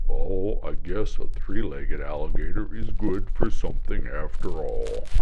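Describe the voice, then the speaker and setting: At a moderate pace, a man performs a put-on character voice over loud background noise. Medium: read story.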